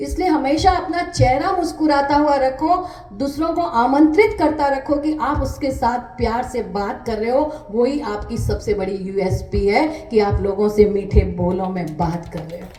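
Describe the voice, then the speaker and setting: With music in the background and audible room echo, the voice makes very wide pitch swings and hardly any pauses. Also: woman, high pitch for a woman. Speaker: author and poet. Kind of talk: interview.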